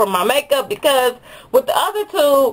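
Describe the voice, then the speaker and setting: A woman talks at a moderate pace with lively intonation. Noticeable background noise runs underneath. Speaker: beauty vlogger. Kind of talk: product review monologue.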